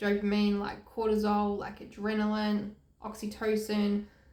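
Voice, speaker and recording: A woman's medium-pitched voice with an Australian accent at a moderate pace, with audible room echo. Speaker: health and recovery youtuber. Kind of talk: informative vlog talk to camera.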